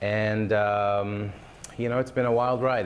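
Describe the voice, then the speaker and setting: A man with a fairly low pitch speaks amid audible room echo. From Israel. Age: 30s. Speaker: real estate agent. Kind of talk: interview.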